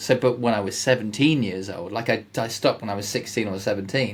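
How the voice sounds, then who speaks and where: A man's voice with ordinary pitch variation. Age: 50s. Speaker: podcast host and Power Platform builder, ex-accountant. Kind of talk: casual chat. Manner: hesitant, many repetitions and fillers.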